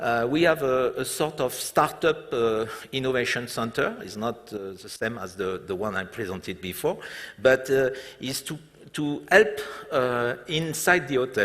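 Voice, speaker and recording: With noticeable noise in the background, a man speaks with lively intonation. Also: medium pitch for a man, fairly slow pace, big swings in loudness. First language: French. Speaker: hotel group executive. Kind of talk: stage interview. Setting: conference stage with audience. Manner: halting, many fillers.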